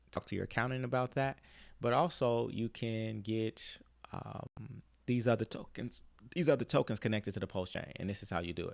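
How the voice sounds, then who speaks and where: A man speaks at a fairly quick pace in an ordinary speaking voice, with ordinary pitch variation. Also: medium pitch for a man. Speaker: crypto YouTuber. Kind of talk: tutorial. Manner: casual, filler-heavy.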